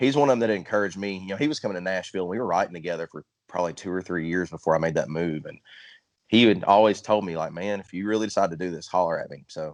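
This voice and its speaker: Against a quiet background, a man with an East Texas accent speaks with big swings in loudness. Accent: Southern country drawl, sounds East Texas. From Central Arkansas, US South. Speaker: country singer-songwriter. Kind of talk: casual interview chat.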